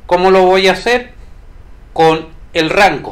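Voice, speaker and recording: A man talking at a very slow pace. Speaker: statistics tutor. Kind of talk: tutorial.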